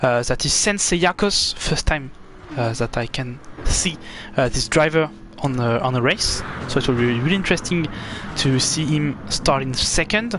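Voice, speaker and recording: Over noticeable background noise, a man with a strong French accent speaks at a moderate pace, his fairly high pitch carried by lively intonation. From France. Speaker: esports race commentator. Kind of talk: live commentary. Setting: live stream. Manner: halting, frequent fillers.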